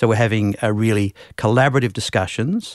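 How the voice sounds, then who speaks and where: A man talks with an Australian accent. His pitch is fairly low. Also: very clean recording, silent background. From Western Australia, Perth. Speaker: TV channel manager. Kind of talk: interview. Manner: hesitant, with filler words.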